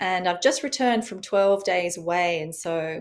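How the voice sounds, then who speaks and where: Her pitch sits at a medium level for a woman, and she talks with an Australian accent. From Australia, rural farm. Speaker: author and rewilding expert. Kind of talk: interview podcast. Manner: calming.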